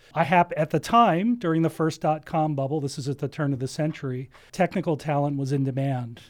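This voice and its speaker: A plain, everyday voice from a man with an American accent, fairly high-pitched and fairly quick, with ordinary pitch variation on a very clean recording with a silent background. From US Northeast (New Jersey). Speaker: entrepreneurship center director. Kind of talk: interview.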